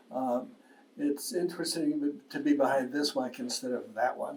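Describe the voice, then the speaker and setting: A man's voice at a moderate pace, with audible room echo and noticeable background noise. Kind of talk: public talk on legal history. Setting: lecture with live audience.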